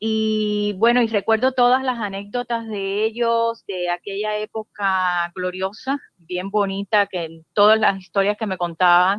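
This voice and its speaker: In an ordinary speaking voice, the speaker goes at a fairly slow pace with fairly even intonation and hardly any pauses. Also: woman, medium pitch for a woman. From Cuba, Santa Clara. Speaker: caller. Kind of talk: casual chat.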